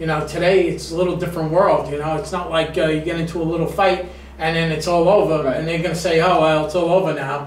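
Speaking at a very fast pace with hardly any pauses, a man uses a high pitch and monotone, flat intonation amid audible room echo and light background noise. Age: 50s. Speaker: music show host. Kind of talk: casual interview. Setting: studio. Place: studio.

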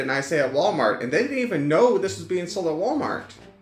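There is audible echo from the room. Faint music plays in the background. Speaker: toy reviewer. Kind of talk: casual review talk. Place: home room.

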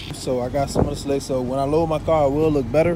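This man's voice is fairly high and his pace fairly quick, recorded dry with no echo but with noticeable background noise. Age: 20s. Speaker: car vlogger. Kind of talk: casual vlog. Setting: in a car. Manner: animated. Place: street. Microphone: phone near.

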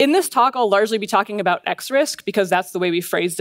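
The background is quiet. A woman speaks with ordinary pitch variation. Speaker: conference speaker. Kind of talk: lecture. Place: stage. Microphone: headset.

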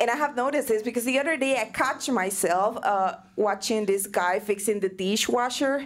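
A woman with a non-native accent speaks at a moderate pace and fairly high pitch, her intonation lively, her loudness very even and hardly any pauses. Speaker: stand-up comedy student. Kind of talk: stand-up comedy set. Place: stage. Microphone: handheld.

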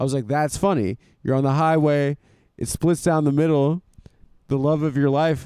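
A man with a dark, mellow tone speaks at a moderate pace, leaving long, frequent pauses. His loudness stays very even and his intonation fairly even, in a dry sound with no echo against a quiet background. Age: 30s. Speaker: comedian and podcast host; comedian, podcast host. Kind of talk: casual chat. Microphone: handheld.

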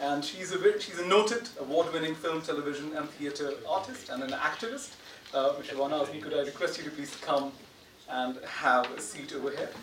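With audible room echo, the fairly quick speech has a fairly bright tone and ordinary pitch variation. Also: man, fairly high pitch for a man, few pauses.

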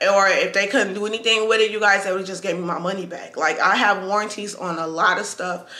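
A woman at a very fast pace in a monotone, flat intonation, with audible room echo. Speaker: vlogger. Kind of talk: casual vlog chat, product review. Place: home room. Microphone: camera far.

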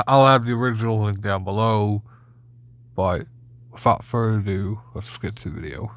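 This man's fairly low voice comes with long, frequent pauses in a dry recording that has no echo. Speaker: reaction video creator. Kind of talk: casual reaction commentary. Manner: rambling, repetitive, stumbling over words. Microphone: phone near.

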